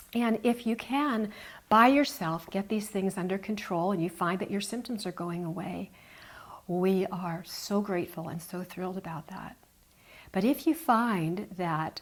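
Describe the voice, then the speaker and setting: An ordinary speaking voice, a woman at a medium pitch and moderate pace with ordinary pitch variation. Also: very clean recording, silent background. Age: 60s. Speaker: health show host. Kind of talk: casual chat.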